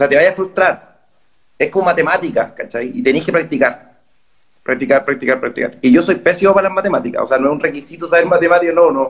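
Talking at a very fast pace, a man with a high pitch and a Chilean accent uses lively intonation. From northern Chile (Calama, Antofagasta). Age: 30s. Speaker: master's student, journalist. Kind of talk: casual interview chat.

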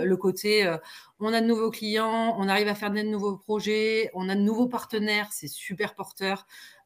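In a very clean recording with a silent background, a woman with an unremarkable speaking voice talks at a fairly slow pace and a fairly high pitch. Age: 40s. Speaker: entrepreneur. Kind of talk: casual interview.

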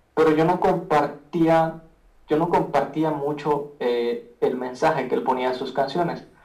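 Over background music, a man talks fairly slowly in a fairly high voice, with audible room echo. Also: ordinary pitch variation. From Guatemala. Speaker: rapper and beatmaker. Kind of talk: casual interview chat. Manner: halting, many repetitions.

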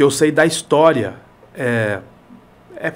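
A man is speaking. His pace is fairly slow. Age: 40s. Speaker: news and opinion show presenter. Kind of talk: casual chat. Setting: studio.

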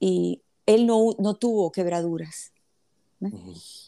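The woman's voice comes through dry and close with no echo on a very clean recording with a silent background. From Nicaragua (born in Havana, Cuba). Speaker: philanthropist, plane crash survivor. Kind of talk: interview, personal story.

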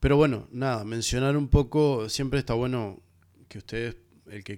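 A man with a Uruguayan accent talks at a moderate pace in a very clean recording with a silent background. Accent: Rioplatense Spanish (Uruguayan). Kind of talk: solo music review podcast. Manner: hesitant, many fillers and repetitions.

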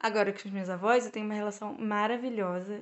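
A woman's voice at medium pitch. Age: 20s. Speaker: economics student and intern. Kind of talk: casual interview. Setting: in-person recording.

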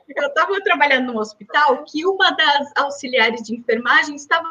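A woman's raised, projected voice, high in pitch, with lively intonation. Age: 30s. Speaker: medical doctor. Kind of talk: interview.

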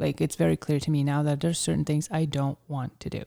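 At a very fast pace, a woman speaks with a very deep, low pitch and fairly even intonation. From Ukraine. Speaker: fitness coach and business owner. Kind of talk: casual interview.

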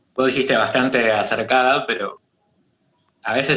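Here a man speaks in a bright, sharp tone at a moderate pace. His pitch is medium. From Argentina. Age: 30s. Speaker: martial arts teacher. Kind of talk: casual chat.

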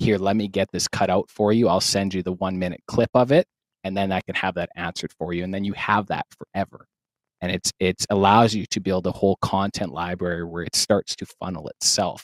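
A man with a Canadian accent speaks at a very deep, low pitch and a fairly quick pace. His intonation stays fairly even, and the sound is dry and close with no echo. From Saskatchewan, Canada. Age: 30s. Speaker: sales trainer and content creator. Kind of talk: interview. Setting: studio.

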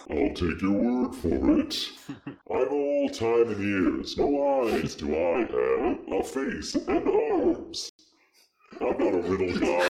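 A man's put-on character voice, menacing and theatrical in tone, at a very slow pace. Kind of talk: comic spooky villain. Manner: menacing, theatrical, taunting.

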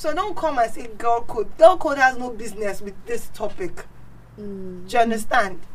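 A woman speaks at a moderate pace in a fairly high voice, her intonation lively. Her loudness swings widely, and noticeable background noise runs underneath. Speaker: guest. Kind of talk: casual chat.

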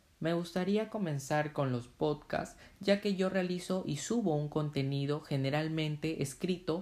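This is a man with an unremarkable speaking voice, fairly high in pitch with ordinary pitch variation. He speaks at a fairly slow pace on a very clean recording with a silent background. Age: 20s. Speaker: blogger and podcaster. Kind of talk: podcast introduction monologue.

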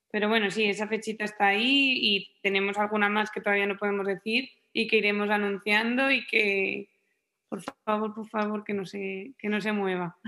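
Her intonation is monotone and flat, at a medium pitch. The woman keeps a moderate pace. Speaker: musician and engineer. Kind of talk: interview.

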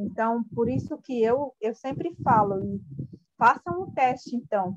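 A woman with a fairly high pitch, lively intonation and a Brazilian Indigenous accent, in a dry, close sound with no echo. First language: Guarani Mbya (speaking Portuguese). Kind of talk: interview. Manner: halting.

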